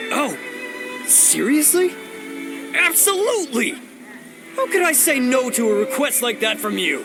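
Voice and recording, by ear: A man puts on a character voice at an extremely high pitch, with big pitch swings and a bright, sharp tone. He talks at a fairly slow pace over faint music in the background.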